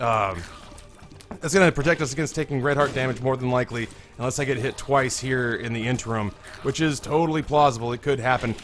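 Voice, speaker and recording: This man talks very fast in an American accent, at medium pitch with ordinary pitch variation. Noticeable background noise is present. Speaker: gaming YouTuber. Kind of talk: casual gameplay commentary.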